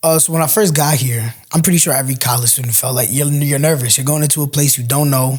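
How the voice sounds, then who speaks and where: Barely pausing, a man races along at a very fast pace, his fairly high voice somewhat breathy and his intonation fairly even. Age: young. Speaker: first-year college student. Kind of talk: casual interview chat.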